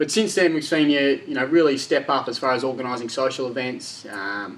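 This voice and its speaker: A man with an Australian accent talks fairly quickly in a fairly high voice with ordinary pitch variation. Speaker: club media host. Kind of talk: casual interview host. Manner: upbeat.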